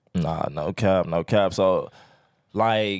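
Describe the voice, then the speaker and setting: A man's voice with a fairly low pitch and fairly even intonation. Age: 30s. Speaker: podcast host. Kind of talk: casual interview.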